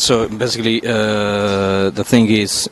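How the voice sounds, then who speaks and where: The intonation is monotone and flat, and the sound is dry with no echo. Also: man. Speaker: tech video interviewer. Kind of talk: interview. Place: hall. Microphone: handheld.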